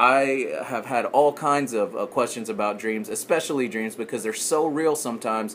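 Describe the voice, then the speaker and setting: With lively intonation, a man speaks at a moderate pace in a medium pitch. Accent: Texan. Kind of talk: casual podcast talk. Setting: background noise.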